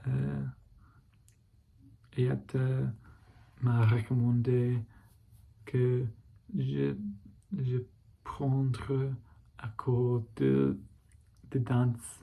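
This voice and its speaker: Marked by long, frequent pauses, the speech moves at a very slow pace in an English accent. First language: English (speaking French). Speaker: French learner vlogger. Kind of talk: language practice monologue. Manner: halting, many repetitions and fillers.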